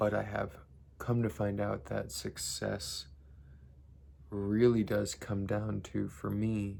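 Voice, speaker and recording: A man speaks quietly at a very slow pace, with long, frequent pauses. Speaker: vlogger. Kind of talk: casual vlog monologue. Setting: home basement at night. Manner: quiet, kept low.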